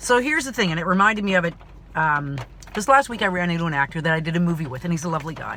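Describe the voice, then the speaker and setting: A woman speaks with lively intonation and an animated tone. Her pitch is fairly low, and there is noticeable background noise. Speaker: actor and vlogger. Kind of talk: personal vlog monologue. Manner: loud.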